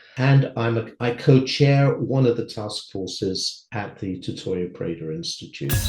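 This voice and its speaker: The man's voice is somewhat breathy, at a medium pitch with ordinary pitch variation. He talks at a fairly slow pace. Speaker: panel moderator. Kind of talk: panel discussion.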